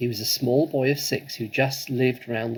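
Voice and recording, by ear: The speaker is reading aloud in a natural voice, with fairly even intonation.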